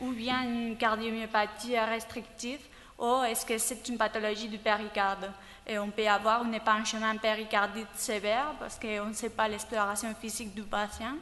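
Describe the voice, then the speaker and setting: A woman speaks at a moderate pace and a fairly high pitch with a non-native accent. Her intonation is monotone and flat, with big swings in loudness. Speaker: cardiology fellow. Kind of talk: clinical case presentation. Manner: halting, many hesitations.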